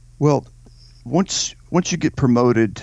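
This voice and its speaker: Against a quiet background, a man with a Southern US accent speaks at a fairly slow pace with lively intonation. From Louisiana. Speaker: podcast co-host, army veteran. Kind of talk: casual political talk.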